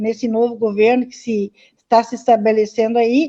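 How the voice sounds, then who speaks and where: This woman's voice has a dark, mellow tone and moves at a fairly slow pace. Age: 60s. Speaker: community activist in local politics. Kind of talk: live-stream panel discussion. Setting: online live stream.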